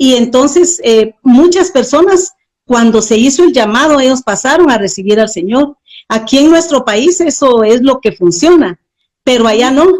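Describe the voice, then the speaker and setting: A woman at a high pitch with lively intonation, very even loudness and a fairly slow pace. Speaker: missionary. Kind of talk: interview testimony.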